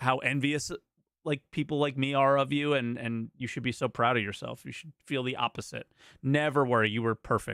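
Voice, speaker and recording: A man at a moderate pace, a normal speaking voice with a General American accent and fairly even intonation. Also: medium pitch for a man. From United States. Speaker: podcast co-host. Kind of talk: call-in show chat.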